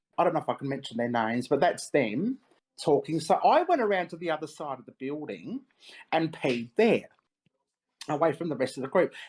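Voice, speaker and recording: A woman with an Australian accent speaks at a moderate pace, her pitch very deep and low. Her intonation is lively, and the recording is very clean with a silent background. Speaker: paranormal investigator. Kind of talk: interview.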